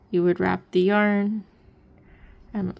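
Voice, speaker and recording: A woman speaks with monotone, flat intonation. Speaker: knitting instructor. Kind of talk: tutorial.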